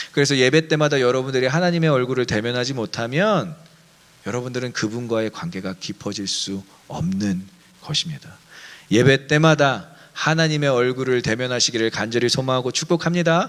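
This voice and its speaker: Lively intonation from a man at a medium pitch and a moderate pace. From Daejeon, Chungcheong, South Korea. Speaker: pastor. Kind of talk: sermon. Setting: online church service.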